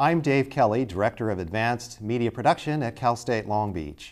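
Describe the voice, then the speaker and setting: Background music under a male voice at a moderate pace. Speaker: talk show host. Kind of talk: interview question. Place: studio.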